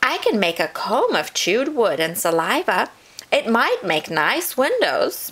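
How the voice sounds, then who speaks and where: At a moderate pace, a woman puts on a character voice with a high pitch. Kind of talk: bedtime story. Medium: read story.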